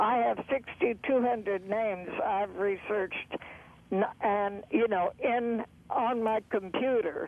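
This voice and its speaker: Speech moves at a fairly slow pace with ordinary pitch variation. Noticeable background noise is present. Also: woman. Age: 90s. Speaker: caller, family researcher. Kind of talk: phone-in call. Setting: phone call. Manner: halting.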